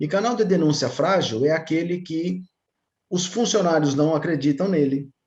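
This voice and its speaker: Lively intonation marks this man's speech, delivered at a moderate pace in an interior São Paulo accent. His voice is fairly high and somewhat breathy. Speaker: compliance consultant. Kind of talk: webinar talk. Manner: animated.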